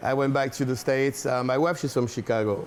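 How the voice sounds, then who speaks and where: Very fast speech from a man with a French accent and fairly even intonation. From France. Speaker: restaurant owner. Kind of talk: interview. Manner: halting, many fillers.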